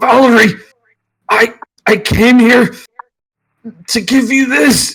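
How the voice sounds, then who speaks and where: A put-on character voice, raspy and croaky, sits at a fairly high pitch. It moves at a very slow pace with long, frequent pauses. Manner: pained, croaking.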